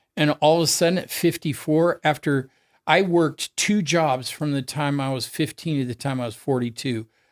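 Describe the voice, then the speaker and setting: A fairly high-pitched man with an American accent at a moderate pace, in a very clean recording with a silent background and a dry, close sound with no echo. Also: ordinary pitch variation. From US, Oregon. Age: 60s. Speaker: cancer survivor and distance swimmer. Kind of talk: interview conversation.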